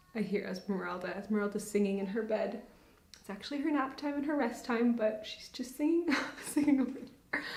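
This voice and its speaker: There is noticeable background noise and audible room echo as a woman talks at a fairly quick pace. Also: fairly high pitch for a woman, ordinary pitch variation. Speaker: knitting podcaster. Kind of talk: casual chat. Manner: fast.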